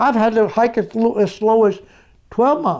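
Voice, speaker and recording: This is a man speaking. His pitch is high. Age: 80s+. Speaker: world-record adventurer, long-distance hiker. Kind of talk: interview answer.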